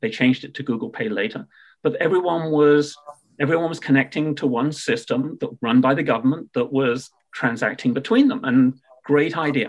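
With lively intonation and a fairly quick pace, a man speaks at a fairly high pitch. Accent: British. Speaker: payments tech entrepreneur. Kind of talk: podcast interview. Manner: hesitant fillers, repeats words.

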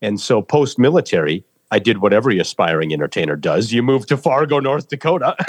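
At a very fast pace, a man with vocal fry speaks at a medium pitch, his pitch swinging very widely. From US Midwest, rural Minnesota. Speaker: war volunteer and military veteran. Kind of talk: interview.

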